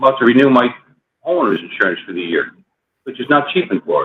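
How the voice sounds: At a fairly quick pace, a man speaks with lively intonation and a slightly husky edge.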